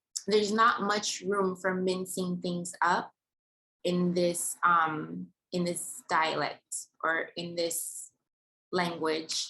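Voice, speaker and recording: At a very slow pace, a woman speaks with a bright, sharp tone and ordinary pitch variation in a Yoruba accent. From Nigeria. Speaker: vlogger. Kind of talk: personal vlog monologue. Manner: articulate.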